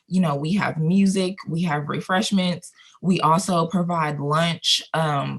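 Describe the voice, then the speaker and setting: Speaking fairly slowly with an American accent, a woman uses a fairly low, somewhat breathy voice with fairly even intonation. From Colorado. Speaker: video production company owner. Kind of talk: interview. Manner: conversational.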